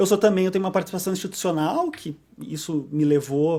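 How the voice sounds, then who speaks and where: A man with a southern Brazilian accent talks at a fairly quick pace, his pitch moving in an ordinary way. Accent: southern Brazilian (gaúcho). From southern Brazil, Porto Alegre. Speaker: arbitration lawyer. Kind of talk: podcast interview. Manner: frequent fillers and repetitions.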